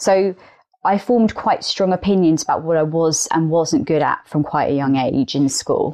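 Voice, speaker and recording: With an English accent, a woman speaks at a moderate pace in a fairly low pitch, her tone dark and mellow and her loudness very even. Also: ordinary pitch variation. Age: 30s. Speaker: podcast guest. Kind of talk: casual chat.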